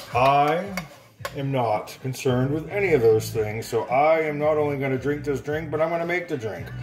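A man's voice with ordinary pitch variation over clear music in the background. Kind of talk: casual tutorial. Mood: jokey, playful. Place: kitchen. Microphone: phone near.

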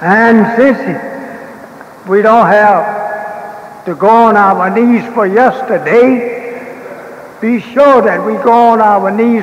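High-pitched, a man speaks at a very slow pace. An audible room echo surrounds his voice. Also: fairly even intonation. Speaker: religious leader lecturing. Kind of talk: sermon. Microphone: old recording.

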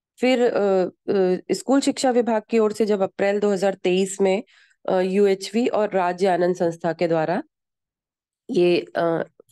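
A medium-pitched woman's voice in a dark, mellow tone, with ordinary pitch variation, a dry, close sound with no echo and a quiet background. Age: 40s. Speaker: school teacher. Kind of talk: personal testimony.

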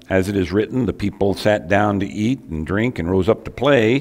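The delivery is a normal speaking voice at a moderate pace. Pitch variation is ordinary. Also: man. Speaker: preacher. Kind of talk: sermon. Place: church.

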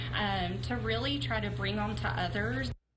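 Through loud background noise, a woman speaks at a moderate pace. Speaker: retirement community staff member. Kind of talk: interview answer. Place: home room.

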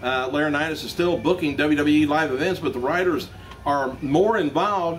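Light background noise sits behind a man's voice. He talks at a moderate pace with ordinary pitch variation. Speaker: news vlogger. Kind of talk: news commentary. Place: shop. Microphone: camera far.

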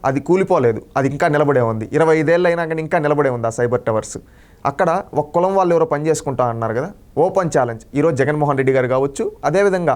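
Pitched fairly high, a man talks in an animated tone with ordinary pitch variation. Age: 20s. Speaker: member of the public giving political opinion. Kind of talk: street interview opinion. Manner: animated, impassioned.

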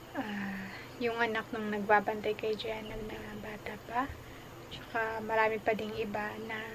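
A woman speaks fairly slowly in a flat, monotone way. Noticeable background noise runs underneath. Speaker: vlogger. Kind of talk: casual vlog chat. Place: home room. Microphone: phone near.

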